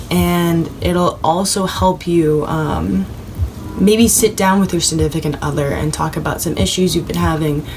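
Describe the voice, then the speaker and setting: Amid audible room echo and noticeable background noise, a woman speaks at a fairly slow pace. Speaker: tarot reader. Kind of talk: tarot reading video. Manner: stumbles over words.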